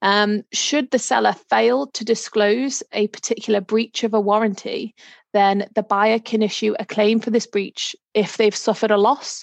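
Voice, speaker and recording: A woman with a Liverpool accent at a fairly high pitch, fairly even intonation, a moderate pace and hardly any pauses, in a dry, close sound with no echo. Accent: Liverpool (Scouse) English. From Liverpool, England. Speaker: solicitor. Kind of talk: interview. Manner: hesitant, many fillers.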